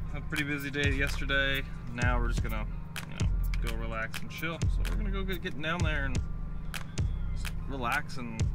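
There are long, frequent pauses in this man's speech. Music plays clearly behind him. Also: dry sound with no echo. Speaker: vlogger driving. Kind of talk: casual vlog chat. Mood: relaxed, playful. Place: car. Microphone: phone near.

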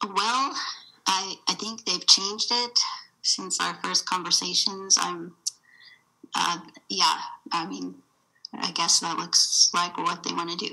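A woman with an American accent, very slow, with long and frequent pauses and big swings in loudness. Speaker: landowner. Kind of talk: testimony.

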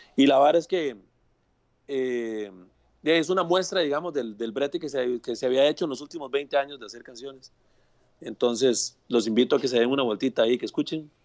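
Against a quiet background, the speech moves at a fairly quick pace with ordinary pitch variation and big swings in loudness. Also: man, fairly high pitch for a man. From Costa Rica, Purral de Guadalupe; Costa Rica. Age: 40s. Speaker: music producer and arranger; guest. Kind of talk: casual video interview. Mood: relaxed, chatty. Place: home room. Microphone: earbuds.

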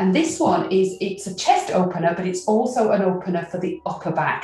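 A woman talks at a moderate pace, and the room echo is audible. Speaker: qigong instructor. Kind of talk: tutorial. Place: home room.

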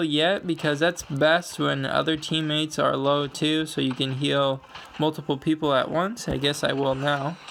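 A man talks at a moderate pace, and noticeable background noise runs underneath. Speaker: gaming youtuber. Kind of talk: gameplay commentary. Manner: rambling, filler-heavy.

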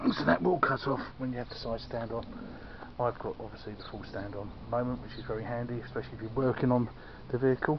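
Over noticeable background noise, a man speaks at a very fast pace with fairly even intonation and big swings in loudness. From UK. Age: 50s. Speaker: motorbike vlogger. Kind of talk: product review; casual review walkthrough. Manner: halting. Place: street. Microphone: phone near.

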